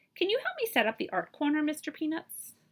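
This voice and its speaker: Using a put-on character voice, a woman sounds squeaky and high-pitched, with a warm tone, talking at a very fast pace. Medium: read story. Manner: warm, friendly.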